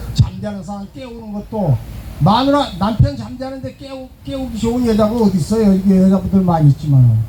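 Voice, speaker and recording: Very wide pitch swings and big swings in loudness at a fairly quick pace, with noticeable background noise. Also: man, high pitch for a man. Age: 70s. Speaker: pastor. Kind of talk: sermon. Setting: outdoors.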